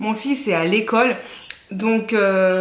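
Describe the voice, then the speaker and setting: In a room with audible echo and noticeable background noise, a woman talks at medium pitch with fairly even intonation. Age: 30s. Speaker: book youtuber. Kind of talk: casual vlog talk to camera. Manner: halting, many fillers.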